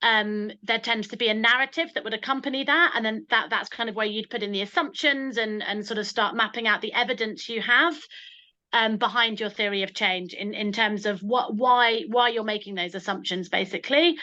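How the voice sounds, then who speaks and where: A woman with a British accent talks at a fairly quick pace over a quiet background. Her tone is bright and sharp, her pitch fairly high, with ordinary variation. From UK. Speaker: social enterprise founder giving a webinar talk; presenter. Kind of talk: online webinar presentation. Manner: fast; hesitant, many repetitions and fillers. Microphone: video call.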